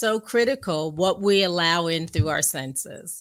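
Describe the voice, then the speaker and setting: A woman with an American accent speaks at a fairly slow pace. She has a normal speaking voice. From US Northeast, New York area. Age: 60s. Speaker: guest speaker on abstinence and faith. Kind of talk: interview testimony.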